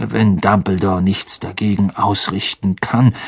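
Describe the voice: Using a put-on character voice, a man speaks fairly slowly at a fairly low pitch with vocal fry, a slightly husky edge and fairly even intonation.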